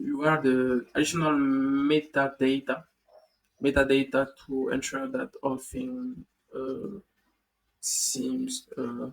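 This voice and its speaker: A man with a non-native accent speaks at a very slow pace, leaving long, frequent pauses. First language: not English. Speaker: tech tutorial youtuber. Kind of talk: coding tutorial. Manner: halting, many fillers and repeats.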